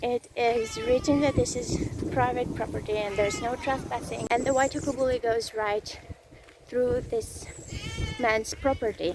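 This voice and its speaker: With noticeable background noise, a woman speaks at a moderate pace in a high pitch with fairly even intonation. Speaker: travel vlogger. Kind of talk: vlog narration. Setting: outdoors on a rainforest trail.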